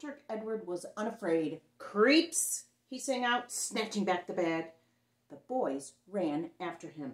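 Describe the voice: The reading aloud is plain, its intonation lively.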